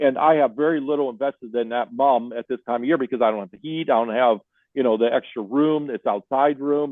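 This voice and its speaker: A man rattles along at a very fast pace in a medium-pitched voice. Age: 60s. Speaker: greenhouse owner and beekeeper. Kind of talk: podcast interview.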